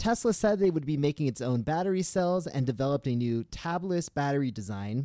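The sound is dry and close with no echo as a man with a fairly high pitch speaks at a fairly quick pace. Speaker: newsletter writer and podcast host. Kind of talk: news reading; casual chat. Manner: loud.

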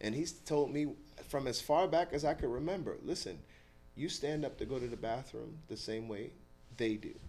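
A man's fairly high-pitched voice in a dark, mellow tone with vocal fry and an American accent. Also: ordinary pitch variation, moderate pace. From New York City (the Bronx). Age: 50s. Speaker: retired Marine, youth mentoring site director. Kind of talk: interview conversation.

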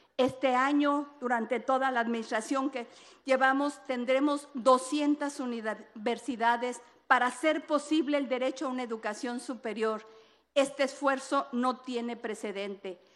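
The delivery moves at a fairly slow pace. Intonation stays fairly even. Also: woman, high pitch for a woman. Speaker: government minister. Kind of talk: formal public speech.

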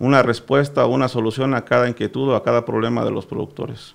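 A man talks with fairly even intonation. His pitch is medium. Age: 40s. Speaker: sugar cane grower. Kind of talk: radio interview.

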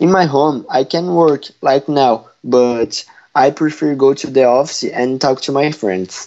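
Speaking at a fairly slow pace, a man with a Portuguese accent has a fairly high pitch and ordinary pitch variation. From Brazil. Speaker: correspondent (role-play). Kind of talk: scripted school podcast. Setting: at home.

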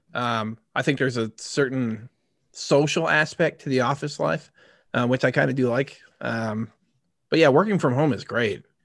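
With a quiet background, a man in an ordinary speaking voice talks at a moderate pace, his medium pitch showing ordinary variation. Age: 30s. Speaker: podcast co-host. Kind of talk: casual chat.

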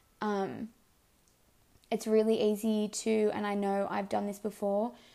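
Woman's dark, mellow tone with vocal fry and monotone, flat intonation. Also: medium pitch for a woman, fairly slow pace.

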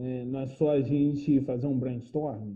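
This man has a plain, everyday voice. His pitch sits in the middle, with fairly even intonation. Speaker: podcast host. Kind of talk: casual chat.

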